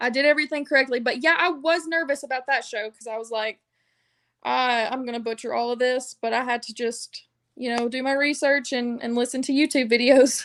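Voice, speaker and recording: High-pitched speech from a woman with a Southern US accent and fairly even intonation, against a quiet background. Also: fairly quick pace. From US South. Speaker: wrestling ring announcer. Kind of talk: interview. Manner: casual, filler-heavy.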